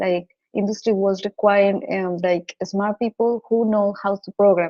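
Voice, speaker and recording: A woman with a Colombian accent speaks at a fairly slow pace, at a medium pitch, with fairly even intonation. Her tone is dark and mellow, and the sound is dry and close with no echo. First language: Spanish. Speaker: data scientist. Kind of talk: interview. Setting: radio show. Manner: halting, frequent repetitions.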